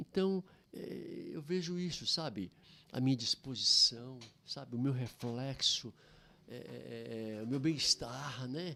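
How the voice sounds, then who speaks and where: A man talks very slowly. His volume rises and drops sharply. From Brazil, Goiás. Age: 70s. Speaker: pastor. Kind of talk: podcast interview.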